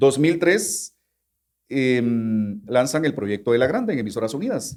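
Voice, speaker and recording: A man with an unremarkable speaking voice talks at a fairly high pitch. His intonation is lively and his pace fairly slow. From Guatemala. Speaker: radio announcer. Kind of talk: interview answer. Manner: casual conversational.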